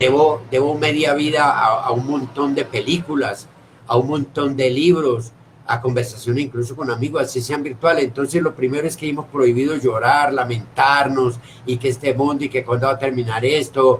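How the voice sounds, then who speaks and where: Using an ordinary speaking voice, a man speaks at a medium pitch with fairly even intonation. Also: moderate pace. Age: 60s. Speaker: theatre director. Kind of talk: casual chat. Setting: video call.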